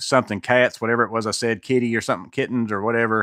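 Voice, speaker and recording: The man's voice sits at medium pitch with a bright, sharp tone. His recording is very clean, the background silent. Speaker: maintenance youtuber. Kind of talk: live stream Q&A chat. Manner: casual, halting.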